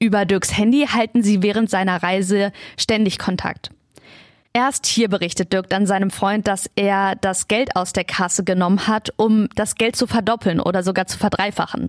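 A woman speaks in a normal speaking voice at a medium pitch, with fairly even intonation and a moderate pace. The sound is dry and close with no echo, on a very clean recording with a silent background. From Lower Saxony, Germany (Peine). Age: 20s. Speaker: podcast host. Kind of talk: scripted narration.

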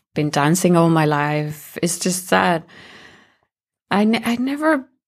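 A woman with a Spanish accent at a medium pitch and fairly slow pace, on a very clean recording with a silent background. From Colombia. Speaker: musician and sound artist. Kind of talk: interview.

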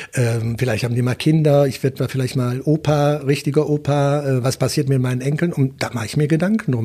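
A man talks at a very fast pace with a fairly high pitch and fairly even intonation. His tone is dark and mellow, and somewhat breathy. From Wuppertal, Germany. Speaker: politician, member of parliament. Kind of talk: interview. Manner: hesitant, many fillers.

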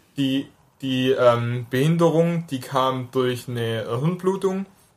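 A man with a slight Swabian accent speaks at a very slow pace and medium pitch, with ordinary pitch variation. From near Stuttgart, Swabia, Germany. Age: 20s. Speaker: drummer with hemiparesis, interviewee. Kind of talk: interview.

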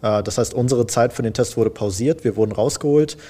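A man speaks with a dark, mellow tone. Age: 20s. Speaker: IT apprentice. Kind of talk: casual interview. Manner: hesitant, many fillers.

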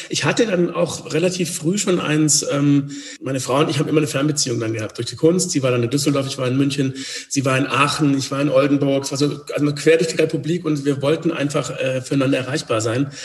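Against noticeable background noise, a man with a fairly high pitch talks at a very fast pace with fairly even intonation. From Swabia, near Stuttgart. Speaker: communication coach and former actor. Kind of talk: interview conversation.

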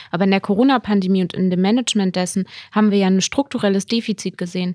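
A woman speaks at a very fast pace and medium pitch with fairly even intonation. The sound is dry and close with no echo, on a very clean recording with a silent background. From Lower Saxony, Germany (near Hameln). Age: 20s. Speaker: politician and teacher. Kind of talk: casual interview.

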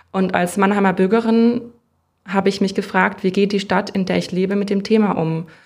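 A woman's medium-pitched voice, monotone and flat in intonation, at a fairly quick pace on a very clean recording with a silent background. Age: 30s. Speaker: social worker, counseling center director. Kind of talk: interview.

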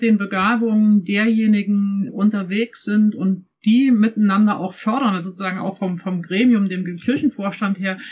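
A woman speaks at a moderate pace in a somewhat breathy, fairly high voice. Her intonation stays fairly even. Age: 50s. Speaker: pastor and church development consultant. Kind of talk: casual discussion.

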